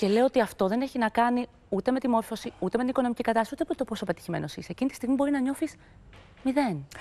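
A woman's high, dark and mellow voice at a very fast pace, with ordinary pitch variation. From Greece. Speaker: TV talk show host. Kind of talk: talk show interview. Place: studio. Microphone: lapel.

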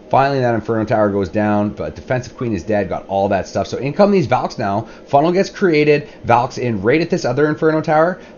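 Very fast speech from a medium-pitched man, very wide pitch swings, noticeable background noise. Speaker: gaming video commentator. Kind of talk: gameplay replay commentary. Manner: casual, filler-heavy.

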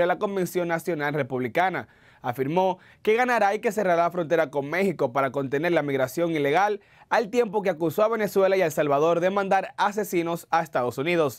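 A man with a high pitch at a fairly quick pace. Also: quiet background. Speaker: news anchor. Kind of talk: news reading. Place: studio. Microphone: lapel.

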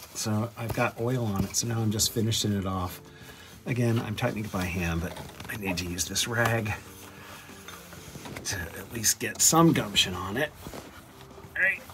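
Over noticeable background noise, a man with a fairly low pitch talks at a moderate pace, leaving long, frequent pauses. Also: ordinary pitch variation. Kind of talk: tutorial. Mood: wry, self-mocking. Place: garage. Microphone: phone near.

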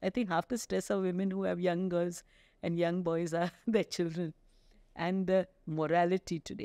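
Against a quiet background, a woman with a dark, mellow tone and fairly low pitch speaks at a moderate pace with fairly even intonation. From India. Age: 60s. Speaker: gynecologist; guest. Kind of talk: interview. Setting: studio. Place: studio. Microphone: studio mic.

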